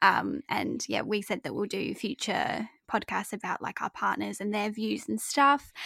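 A woman with an Australian accent speaks with hardly any pauses. The recording is very clean, dry and close, with no echo and a silent background. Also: fairly slow pace. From Adelaide, Australia. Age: 20s. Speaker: podcast co-host. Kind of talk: casual chat. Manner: giggly.

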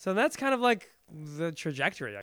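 A man speaks at a moderate pace with an American accent. The recording is very clean, with a silent background. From Iran, immigrated to the US as a child. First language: Farsi. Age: 30s. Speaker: actor and theater director. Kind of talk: casual interview. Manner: halting, many repetitions.

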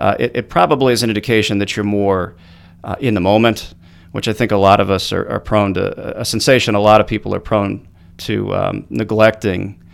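Over a silent background in a very clean recording, a man with a fairly low pitch talks at a fairly quick pace. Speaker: traffic reporter and photographer. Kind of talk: interview. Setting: studio.

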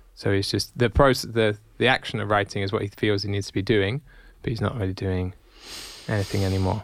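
A man talks at a fairly quick pace in a normal speaking voice, with a fairly low pitch. His intonation is fairly even, and the recording is very clean with a silent background. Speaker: podcast co-host. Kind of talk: casual chat.

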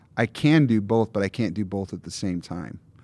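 A man's unremarkable speaking voice, fairly low in pitch, at a moderate pace. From Michigan, US Midwest. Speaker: pastor. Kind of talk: casual chat.

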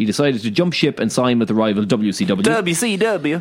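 A man's lively intonation with an Irish accent. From Ireland. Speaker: podcast co-host. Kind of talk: casual chat.

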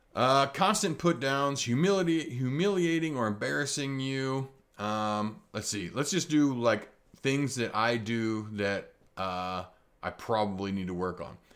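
A man with a Midwestern US accent at medium pitch, fairly slow pace and very wide pitch swings, on a very clean recording with a silent background. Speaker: tattoo artist and podcaster. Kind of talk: solo podcast monologue, casual. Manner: casual.

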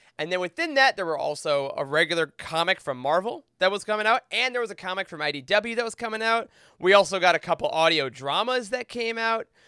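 A man speaks at a very fast pace in a raised, projected voice, high-pitched, with a bright, sharp tone, lively intonation and an enthusiastic tone. The recording is very clean with a silent background and a dry, close sound with no echo. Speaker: Star Wars book expert. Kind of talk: casual chat.

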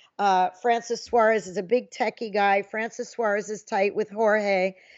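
With a plain, everyday voice, a woman talks at a moderate pace, her pitch fairly high and her intonation fairly even. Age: 50s. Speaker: sports journalist. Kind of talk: casual chat.

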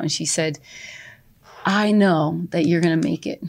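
This woman has an unremarkable speaking voice, fairly low in pitch with fairly even intonation, on a very clean recording with a silent background. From New Jersey. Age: 50s. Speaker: salon owner and life coach. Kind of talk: interview.

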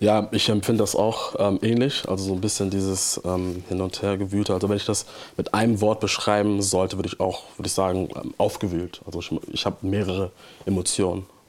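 A man with a fairly low pitch speaks at a fairly quick pace with monotone, flat intonation over noticeable background noise. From Hamburg, northern Germany. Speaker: theology student and church trainee. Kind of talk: church interview.

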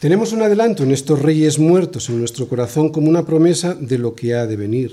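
A man speaks fairly quickly in a fairly high pitch. His intonation is lively. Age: 60s. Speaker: pastor. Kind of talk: sermon.

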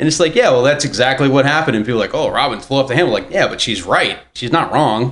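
With a medium pitch and ordinary pitch variation, a man talks at a very fast pace. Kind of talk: casual banter.

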